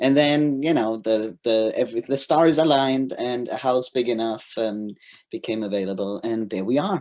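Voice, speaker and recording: Someone with a German accent speaks at a moderate pace with ordinary pitch variation. The recording is very clean, with a silent background. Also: man, medium pitch for a man. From Germany. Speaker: governance consultant. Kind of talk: presentation.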